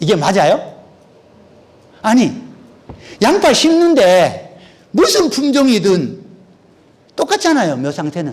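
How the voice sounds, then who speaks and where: A man speaks very slowly in an extremely high pitch, with very wide pitch swings and long, frequent pauses. Room echo is audible. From Korea, North Gyeongsang (Uiseong). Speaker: agricultural researcher and lecturer. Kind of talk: lecture. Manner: conversational, with frequent fillers.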